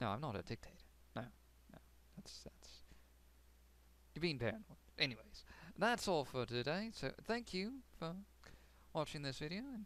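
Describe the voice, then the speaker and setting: Moderate-paced talk in an American accent, with very wide pitch swings, vocal fry and long, frequent pauses. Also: man, fairly high pitch for a man. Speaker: game server owner. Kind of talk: video game tour narration. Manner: casual, hesitant with fillers.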